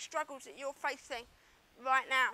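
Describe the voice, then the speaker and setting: A woman talks at a fairly quick pace in a raised, projected voice with a bright, sharp tone. The sound is dry and close, with no echo. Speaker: business coach. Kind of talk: online marketing video talk to camera.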